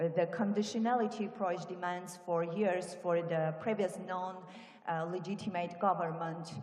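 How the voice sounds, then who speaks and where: Noticeable background noise and audible room echo surround a woman's voice. She speaks at a moderate pace with a fairly low pitch and fairly even intonation. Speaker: parliamentarian. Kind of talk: conference speech. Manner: halting.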